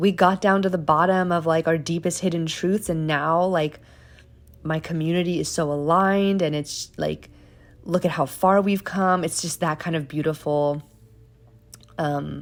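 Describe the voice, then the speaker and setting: Her voice is a woman's, fairly low in pitch with fairly even intonation. She keeps a moderate pace in a very clean recording with a silent background. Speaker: tarot reader. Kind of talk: tarot reading to camera. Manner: halting, filler-heavy.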